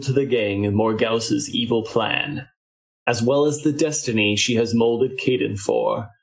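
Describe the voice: Pitch varies in an ordinary way during plain reading aloud. Behind it, things are quiet.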